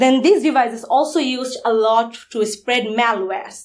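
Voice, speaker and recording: Fairly high-pitched woman's voice with a Bengali accent, ordinary pitch variation and a moderate pace, captured on a very clean recording with a silent background. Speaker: security conference speaker. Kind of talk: conference talk.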